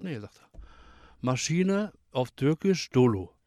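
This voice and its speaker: A man's voice has a dark, mellow tone and very wide pitch swings. The sound is dry and close, with no echo. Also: very clean recording, silent background. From Germany, Ruhr area (Bottrop). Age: 60s. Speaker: retired forklift driver. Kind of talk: casual chat.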